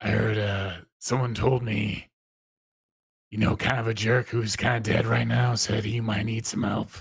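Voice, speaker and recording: A man uses a raspy put-on character voice at a moderate pace, fairly low in pitch and monotone, with flat intonation. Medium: actual play. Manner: casual, hesitant.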